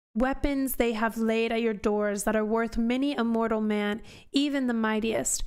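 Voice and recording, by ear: In a natural voice, the speaker reads aloud.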